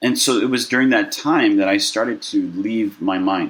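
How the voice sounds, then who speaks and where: A man with a General American accent speaks at a moderate pace. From Southern California (Burbank). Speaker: mental health organization founder. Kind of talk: interview. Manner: halting.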